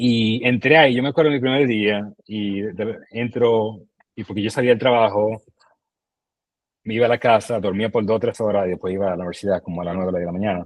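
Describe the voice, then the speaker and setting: At a fairly quick pace, a man with a fairly low pitch talks with ordinary pitch variation. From Dominican Republic, Santo Domingo. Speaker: entrepreneur. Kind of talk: podcast interview. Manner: animated.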